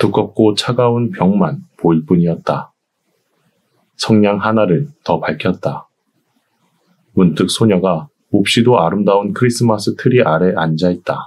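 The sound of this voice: With long, frequent pauses, a man speaks at a fairly slow pace in a calm, soothing tone, a fairly low pitch and very even loudness.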